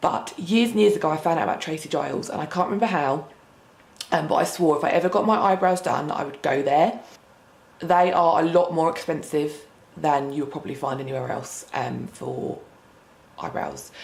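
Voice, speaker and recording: A woman's very deep, low pitch with ordinary pitch variation, amid audible room echo and noticeable background noise. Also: moderate pace. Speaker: beauty vlogger. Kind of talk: casual vlog to camera.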